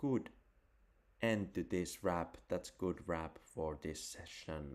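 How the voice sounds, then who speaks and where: The pace is very slow. Pitch variation is ordinary. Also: man, very deep, low pitch for a man. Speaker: crypto and photography livestreamer. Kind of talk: casual solo livestream chat. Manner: mumbling; halting, repetitive.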